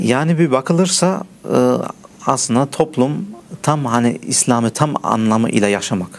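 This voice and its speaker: A man's voice with very wide pitch swings and very even loudness. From Germany, Turkish family from Mersin. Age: 30s. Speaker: teacher of blind students, computer programmer. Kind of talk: interview. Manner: halting, many fillers.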